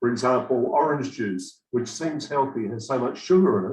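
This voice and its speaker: A somewhat breathy man at medium pitch, with ordinary pitch variation and a moderate pace. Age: 60s. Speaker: program participant giving testimonial. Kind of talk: testimony.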